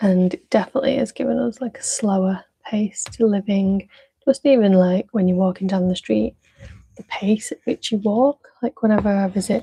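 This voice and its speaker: A woman with a Manchester accent speaks at a medium pitch and moderate pace, with ordinary pitch variation. Her tone is dark and mellow and somewhat breathy, with a dry, close sound with no echo. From Manchester, northern England. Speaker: craft livestreamer. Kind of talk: casual live-stream chat while crafting. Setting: live stream. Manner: calm, gentle.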